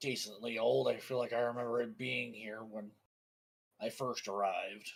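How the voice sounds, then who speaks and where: A put-on character voice, raspy and delivered at a moderate pace. The intonation stays monotone and flat. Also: man, medium pitch for a man. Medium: actual play. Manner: dry, laconic.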